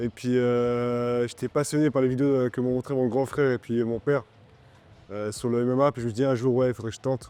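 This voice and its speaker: A man is speaking. His pace is moderate. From Switzerland, Romont (Fribourg). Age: 20s. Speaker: MMA fighter. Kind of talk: interview. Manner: halting, many fillers.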